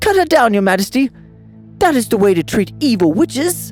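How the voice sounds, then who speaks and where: Over clear background music, a man uses a put-on character voice pitched high, talking at a fairly quick pace. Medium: read story. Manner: shouting, frantic.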